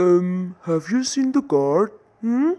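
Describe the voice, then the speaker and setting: A put-on character voice, female-sounding and middle in pitch. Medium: read story. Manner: warm, gentle.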